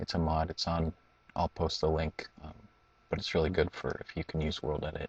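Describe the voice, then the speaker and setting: This man's very deep, low voice is somewhat breathy and monotone, moving at a fairly quick pace in a dry, close sound with no echo. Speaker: gaming tutorial youtuber. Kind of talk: tutorial. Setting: at home at night. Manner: halting.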